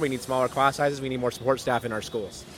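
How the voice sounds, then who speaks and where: A man speaks at a fairly high pitch. Noticeable background noise runs behind him. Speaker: teacher. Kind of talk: protest speech. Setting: outdoors at a protest. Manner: hesitant with fillers, frustrated.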